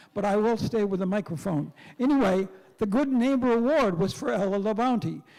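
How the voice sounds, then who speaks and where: At a fairly quick pace, a man speaks with a high pitch. His tone is dark and mellow, and his loudness stays very even. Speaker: minister emeritus. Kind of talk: speech at a meeting. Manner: halting.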